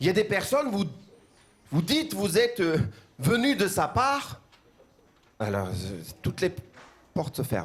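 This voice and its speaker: Fairly slow delivery with very wide pitch swings and long, frequent pauses. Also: man, high pitch for a man. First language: Armenian (speaking French). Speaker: pastor. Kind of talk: sermon. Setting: church. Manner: halting, repeats words.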